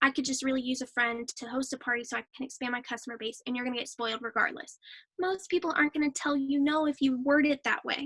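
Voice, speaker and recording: A woman speaks at a high pitch in a raised, projected voice with a bright, sharp tone. The pace is fairly quick, and the sound is dry and close with no echo. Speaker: direct sales trainer. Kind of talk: training talk.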